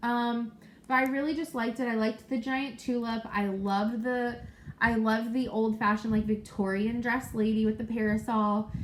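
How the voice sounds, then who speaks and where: At a moderate pace, a woman talks in a fairly high voice with fairly even intonation over noticeable background noise. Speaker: cross-stitch video blogger. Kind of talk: casual chat. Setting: at home.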